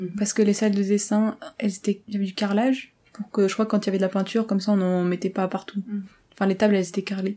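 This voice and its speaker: A woman speaks very fast at a medium pitch, somewhat breathy, with a dark, mellow tone and monotone, flat intonation. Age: 20s. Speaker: engineering student. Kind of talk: casual interview. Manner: hesitant.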